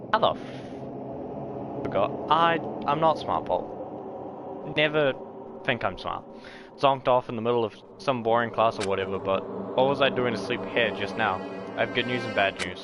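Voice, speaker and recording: With lively intonation, a medium-pitched man talks at a moderate pace against noticeable background noise. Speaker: streamer. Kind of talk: live game stream commentary. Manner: casual, swears often.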